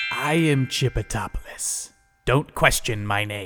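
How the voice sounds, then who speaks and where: Over faint background music, a man does a put-on character voice at a medium pitch and a fairly slow pace. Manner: pompous, menacing.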